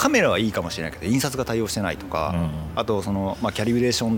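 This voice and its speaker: Someone speaks at a very fast pace with music in the background. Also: man. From Itoshima, Fukuoka, Kyushu, Japan. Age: 40s. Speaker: photographer. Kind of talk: casual chat.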